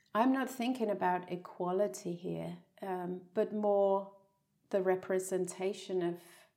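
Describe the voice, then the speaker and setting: A woman with a Danish accent, a dark, mellow tone, fairly even intonation and a fairly slow pace. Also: medium pitch for a woman. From Denmark. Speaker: podcast host and yoga teacher. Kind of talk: casual chat. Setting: in the same room as the guest.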